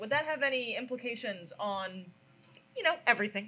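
A woman uses a raised, projected voice at a moderate pace. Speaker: panel moderator. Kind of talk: panel discussion. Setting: conference room with audience. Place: hall.

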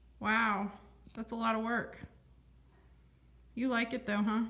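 Her tone bright and sharp, a woman speaks. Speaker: grandchild filming. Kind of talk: casual interviewing off camera. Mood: impressed, friendly. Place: home room. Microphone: phone near.

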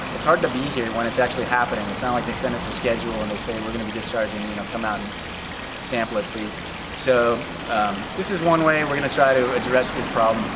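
A very fast pace over loud background noise. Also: man, ordinary pitch variation. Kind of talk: explainer to camera. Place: waterside. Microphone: camera far.

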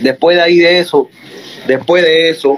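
Noticeable background noise behind a male speaker, his pitch varying in an ordinary way. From Cuba. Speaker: reggaeton artist. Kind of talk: heated rant. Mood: confrontational, boastful. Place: home room. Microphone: phone near.

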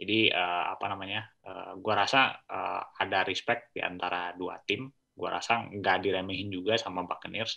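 A plain, everyday voice moves at a moderate pace with hardly any pauses and fairly even intonation over a quiet background. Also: man, fairly low pitch for a man. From Indonesia. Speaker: co-host, NFL analyst. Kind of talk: casual sports analysis chat. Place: home room. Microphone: video call.

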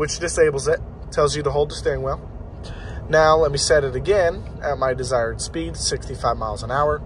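The man talks at a moderate pace. There is light background noise, and the sound is dry with no echo. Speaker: driver demonstrating vehicle feature. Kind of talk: tutorial. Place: car. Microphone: phone near.

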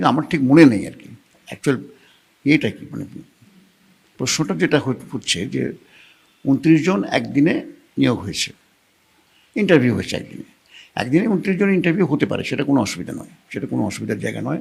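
A man speaks with vocal fry, very wide pitch swings and big swings in loudness. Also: fairly high pitch for a man. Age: 80s+. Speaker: former municipal chairman. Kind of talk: news interview. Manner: halting.

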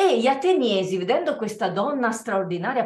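Audible room echo trails the somewhat breathy voice of a woman. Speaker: theatre performer. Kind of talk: dramatic reading aloud. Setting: video call.

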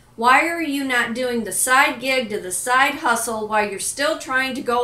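A woman's fairly high voice with ordinary pitch variation, at a moderate pace, over noticeable background noise. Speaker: life and business coach, vlogger. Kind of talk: pep talk, motivational monologue to camera. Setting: home kitchen, self-recorded video. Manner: earnest, emphatic, direct, encouraging.

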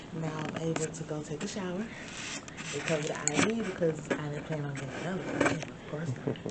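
Loud background noise sits behind a woman's voice. She talks at a fairly quick pace with ordinary pitch variation. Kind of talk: casual vlog chat. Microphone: phone near.

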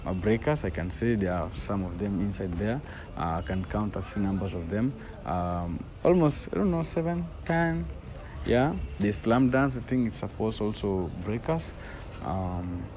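Over light background noise, a man with a fairly low pitch speaks at a fairly slow pace with lively intonation. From Kenya, Nairobi (Kibera); Kenya. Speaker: professional dancer. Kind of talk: interview. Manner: halting. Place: open country.

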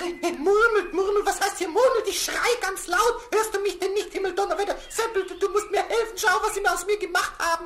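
In a put-on character voice at an extremely high pitch, the speaker moves at a fairly quick pace with hardly any pauses over clear background noise. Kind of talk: children's radio play. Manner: excited, stammering.

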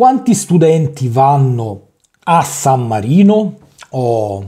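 With a quiet background, a man speaks in a dark, mellow, somewhat breathy tone with very wide pitch swings. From Italy. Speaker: language teacher. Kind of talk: tutorial. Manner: halting.

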